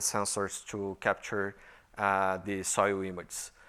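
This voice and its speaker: Bright and sharp in tone, a man with a Brazilian Portuguese accent speaks at a fairly slow pace on a very clean recording with a silent background. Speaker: software engineer and conference speaker. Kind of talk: conference talk. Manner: halting, many fillers.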